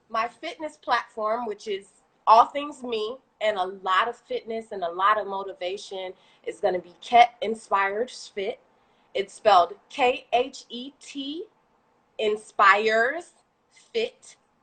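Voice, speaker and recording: In an animated, bright, sharp tone, a woman with a fairly high pitch shows ordinary pitch variation and big swings in loudness. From Haitian heritage. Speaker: small business owner, fitness and food creator. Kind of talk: casual interview on a livestream. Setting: live video stream.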